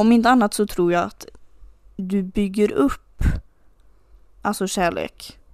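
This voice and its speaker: At a very slow pace with long, frequent pauses, a woman speaks at a medium pitch with fairly even intonation. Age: 20s. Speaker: podcast co-host. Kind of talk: casual chat.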